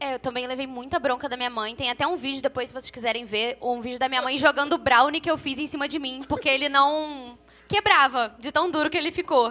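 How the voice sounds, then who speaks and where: A raised, projected voice with a bright, sharp tone races along at a fairly quick pace with hardly any pauses and ordinary pitch variation. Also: woman, high pitch for a woman. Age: 20s. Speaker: podcast co-host. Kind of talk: casual chat.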